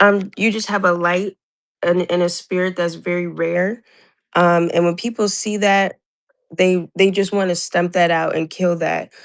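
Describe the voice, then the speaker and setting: Speaking at a fairly slow pace, a woman keeps a monotone, flat intonation. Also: medium pitch for a woman. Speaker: caller. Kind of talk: casual chat.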